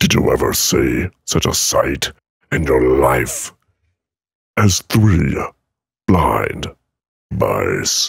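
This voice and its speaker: Putting on a character voice, a man growls in a raspy, very deep, low pitch with a dramatic, intense tone, speaking at a very slow pace with long, frequent pauses. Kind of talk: dramatic nursery rhyme reading. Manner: over-dramatic, intense.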